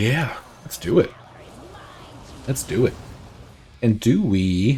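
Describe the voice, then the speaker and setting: A man speaks at a very slow pace. His medium-pitched voice has lively intonation. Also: big swings in loudness. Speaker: gaming streamer. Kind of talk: gameplay commentary. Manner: casual, thinking aloud with fillers.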